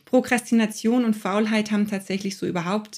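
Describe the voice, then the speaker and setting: A woman speaks with a fairly high voice. Her intonation stays fairly even. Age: 40s. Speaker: coach and podcast host. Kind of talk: casual interview.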